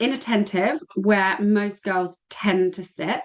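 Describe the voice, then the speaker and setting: A woman speaks with fairly even intonation. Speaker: women's health practitioner. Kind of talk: webinar presentation. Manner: fast.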